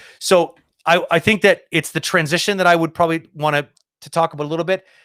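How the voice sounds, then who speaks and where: On a very clean recording with a silent background, a man speaks at a fairly quick pace in a high pitch, the sound dry and close with no echo. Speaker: animation streamer giving reviews. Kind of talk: live stream critique tutorial. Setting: live stream. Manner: halting, repeats words.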